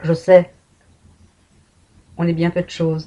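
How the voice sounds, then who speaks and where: Slow-paced and somewhat breathy, a woman speaks in a monotone, flat intonation with a dark, mellow tone. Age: 60s. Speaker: patient and vlogger. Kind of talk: personal testimony. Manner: emotional, emphatic.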